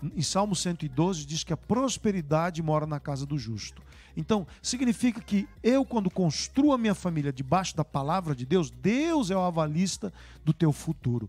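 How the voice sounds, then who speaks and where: A man's high voice shows very wide pitch swings. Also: moderate pace. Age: 60s. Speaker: bishop. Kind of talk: live-streamed church talk show interview.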